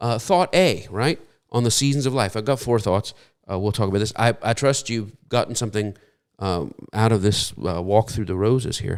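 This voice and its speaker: The recording is very clean, with a silent background. A man speaks with a fairly low pitch. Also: ordinary pitch variation, moderate pace. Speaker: preacher. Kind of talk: sermon. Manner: halting.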